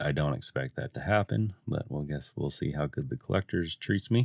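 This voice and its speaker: A man with a very deep, low pitch and vocal fry speaks with lively intonation, the sound dry and close with no echo. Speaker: card game unboxing youtuber. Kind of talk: casual unboxing commentary. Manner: quiet, not loud.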